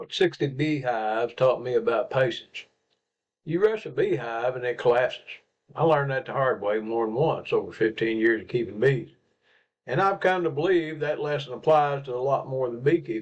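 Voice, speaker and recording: Lively in his intonation, a man with a Southern US accent speaks at a moderate pace and a fairly high pitch. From Arkansas, USA. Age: 70s. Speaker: pastor and beekeeper. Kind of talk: reflective personal talk to camera.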